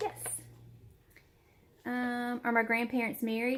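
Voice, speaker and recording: A woman speaks with a Southern US accent. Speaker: YouTuber. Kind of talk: casual chat. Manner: hesitant, filler-heavy.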